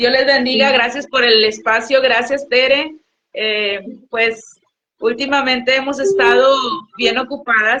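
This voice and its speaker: Bright and sharp in tone, a woman's high voice moves at a fairly slow pace with fairly even intonation. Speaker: guest minister. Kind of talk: testimony. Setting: livestream. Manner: stutters at times; halting, many fillers.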